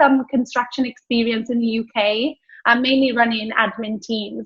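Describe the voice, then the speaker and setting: A woman's fairly high pitch, ordinary pitch variation, and moderate pace. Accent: Welsh. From Wales. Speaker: business founder. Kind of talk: interview.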